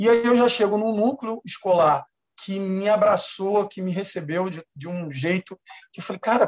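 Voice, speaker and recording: Ordinary pitch variation and a fairly slow pace in a man's high voice. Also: dry, close sound with no echo. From Baixada Fluminense, Rio de Janeiro, Brazil. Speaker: actor and theatre producer. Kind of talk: interview.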